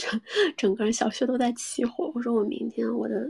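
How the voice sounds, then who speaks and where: A woman speaks in a somewhat breathy voice. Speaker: sex and relationships podcast host. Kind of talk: casual live-stream chat. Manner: casual, many fillers.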